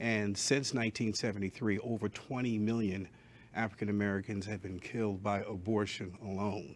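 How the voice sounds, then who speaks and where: The pitch is fairly low for this man. His intonation holds fairly even. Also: moderate pace. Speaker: pastor and pro-life leader. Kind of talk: interview answer. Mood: earnest, grieved. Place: studio. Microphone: lapel.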